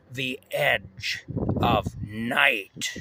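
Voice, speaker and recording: A man's raspy, put-on character voice. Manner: eerie, dramatic.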